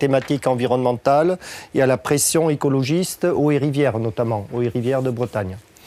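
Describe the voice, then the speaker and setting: A man with a slight southwestern French accent speaks at a medium pitch with ordinary pitch variation. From southwest France. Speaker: agricultural trainer. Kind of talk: lecture. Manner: hesitant, many filler sounds.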